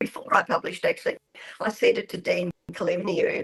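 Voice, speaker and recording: A woman speaks at a moderate pace with an Australian accent. The sound is dry and close, with no echo. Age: 70s. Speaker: author. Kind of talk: radio interview.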